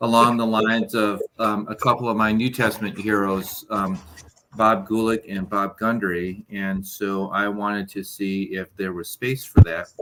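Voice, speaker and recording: In a normal speaking voice, a man with a fairly low pitch talks at a moderate pace with fairly even intonation and big swings in loudness. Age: 60s. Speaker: Bible scholar, teacher and part-time pastor. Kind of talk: casual chat.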